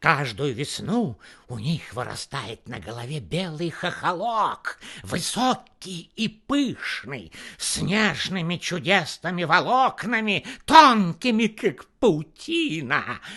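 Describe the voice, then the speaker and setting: Against a quiet background, a man does a put-on character voice, high-pitched with very wide pitch swings, at a fairly slow pace. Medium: read story.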